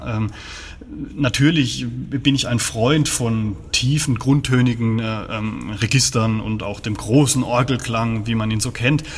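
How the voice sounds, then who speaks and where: With fairly even intonation, a man talks at a medium pitch in an unremarkable speaking voice. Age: 30s. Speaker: organist. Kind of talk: interview.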